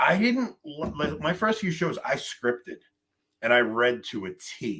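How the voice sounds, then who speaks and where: With a New York accent, the voice has a bright, sharp tone, vocal fry and very wide pitch swings. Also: man, fairly high pitch for a man, fairly slow pace. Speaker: podcaster. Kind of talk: casual chat.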